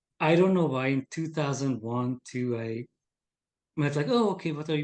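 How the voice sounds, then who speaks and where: A man with a Hungarian accent at a fairly high pitch, moderate in pace, with ordinary pitch variation. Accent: noticeable Hungarian. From Hungary. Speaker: game designer. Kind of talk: casual chat.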